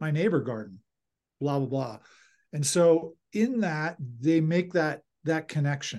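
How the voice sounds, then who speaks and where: Against a quiet background, a man with an American accent speaks in an unremarkable speaking voice at a fairly high pitch. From Philadelphia. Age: 50s. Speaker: nonprofit director. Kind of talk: interview.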